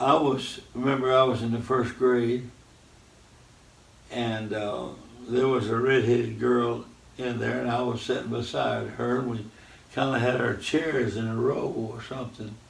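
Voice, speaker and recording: A man with a Southern US accent speaks at a medium pitch with monotone, flat intonation and long, frequent pauses. Audible room echo and noticeable background noise are present. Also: moderate pace. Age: 80s+. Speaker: radio host, preacher. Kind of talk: casual interview.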